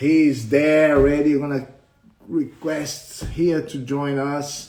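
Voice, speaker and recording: A man with a Portuguese accent speaks in a dark, mellow tone. His pitch is fairly high. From Brazil. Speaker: martial arts instructor. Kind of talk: live interview. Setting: livestream. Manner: halting.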